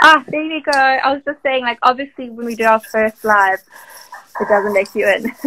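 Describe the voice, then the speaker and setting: A woman with a South African accent speaks in a bright, sharp tone at a high pitch. Her pace is moderate and her pitch variation ordinary, in a dry, close sound with no echo. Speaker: marketing manager hosting a live stream. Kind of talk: casual live-stream interview. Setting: Instagram live video call. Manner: animated.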